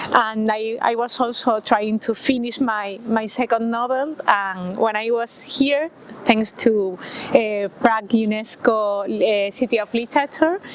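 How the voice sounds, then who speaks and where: Noticeable background noise sits under a voice in a Spanish accent with fairly even intonation and a fairly slow pace. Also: woman, fairly high pitch for a woman. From Spain. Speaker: writer. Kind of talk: interview. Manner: halting, many fillers.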